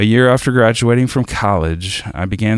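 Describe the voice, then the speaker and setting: Recorded very cleanly against a silent background, a man talks with a Southern US accent. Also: dry, close sound with no echo. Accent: Southern American. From US South, South Arkansas. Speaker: worship leader. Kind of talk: devotional reading.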